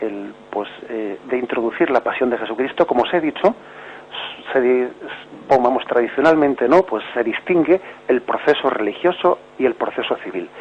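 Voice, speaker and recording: A man at a medium pitch and moderate pace, with ordinary pitch variation and noticeable background noise. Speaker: bishop, catechism radio teacher. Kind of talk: radio catechesis talk answering caller.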